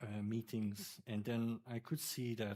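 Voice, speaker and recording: A man talks in a monotone, flat intonation. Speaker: doctoral candidate. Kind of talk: thesis defence discussion. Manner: hesitant, many fillers.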